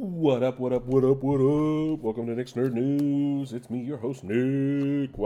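A man uses a put-on character voice at medium pitch, speaking fairly slowly with hardly any pauses. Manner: hyped, exaggerated.

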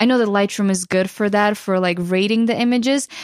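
Speaking with a Ukrainian accent and fairly even intonation, the voice comes through on a very clean recording with a silent background. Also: woman. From western Ukraine. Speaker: photographer and YouTuber. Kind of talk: casual interview. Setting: studio.

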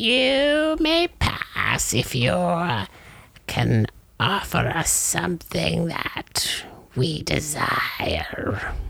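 Someone speaks very slowly in a put-on character voice. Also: man. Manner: cackling, greedy, mock-archaic menace.

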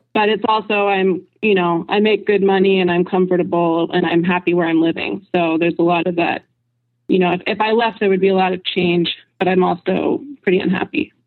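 The woman's medium-pitched voice moves at a fairly quick pace with fairly even intonation. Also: very even loudness. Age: 20s. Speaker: ad copywriter. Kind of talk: call-in conversation. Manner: halting.

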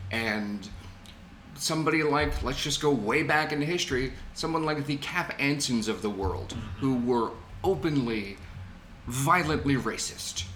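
Music plays in the background as the voice moves at a fairly slow pace with audible room echo. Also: man, medium pitch for a man, lively intonation. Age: 40s. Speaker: podcast co-host. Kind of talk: casual chat.

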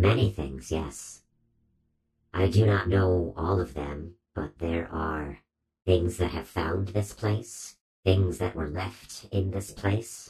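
Using a put-on character voice with very wide pitch swings, the speaker goes at a very slow pace. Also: man, very deep, low pitch for a man. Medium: actual play. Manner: slow, terse, formal.

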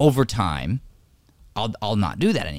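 Animated and fairly quick, a man speaks with vocal fry and very wide pitch swings in a very clean recording with a silent background. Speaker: acting coach and podcast host. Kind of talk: casual talk show chat with faith themes. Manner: animated, excitable.

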